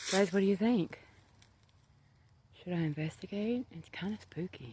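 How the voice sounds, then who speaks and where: A woman of medium pitch speaks at a moderate pace with lively intonation and big swings in loudness, her somewhat breathy voice dark and mellow in tone. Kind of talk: casual talk to camera. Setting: outdoors.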